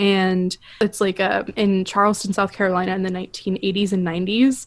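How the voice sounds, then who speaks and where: This woman has an ordinary speaking voice and a medium pitch. She talks at a fairly slow pace in a very clean recording with a silent background. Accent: American. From Florida, US. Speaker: podcast co-host. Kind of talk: casual chat.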